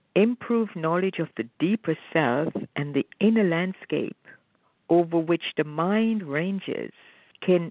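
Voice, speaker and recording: A woman uses an ordinary speaking voice with a fairly low pitch. She goes at a fairly slow pace with ordinary pitch variation. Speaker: spiritual co-presenter. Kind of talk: reading aloud. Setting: phone call.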